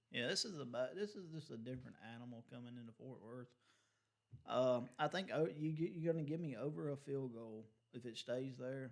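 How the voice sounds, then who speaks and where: The speaker has an ordinary speaking voice and moves at a fairly quick pace. Loudness swings widely, while pitch varies in an ordinary way. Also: man, medium pitch for a man. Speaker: sports betting podcast co-host. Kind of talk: casual chat.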